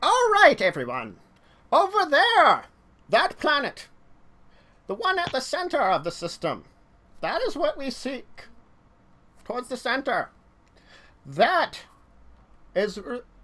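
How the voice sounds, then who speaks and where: Using a put-on character voice at an extremely high pitch, a man speaks at a fairly slow pace with long, frequent pauses. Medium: actual play. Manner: grand, pointing and declaring.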